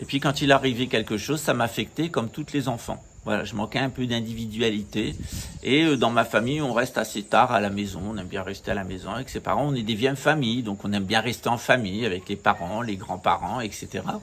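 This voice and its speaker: Fairly quick in pace, a man speaks at medium pitch with ordinary pitch variation. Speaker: spiritual teacher. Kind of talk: talk to camera. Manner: hesitant.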